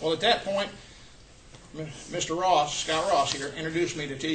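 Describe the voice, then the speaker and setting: A man with a high pitch speaks with ordinary pitch variation. Audible room echo and noticeable background noise surround him. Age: 60s. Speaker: health product distributor giving a talk. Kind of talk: testimony. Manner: casual, halting.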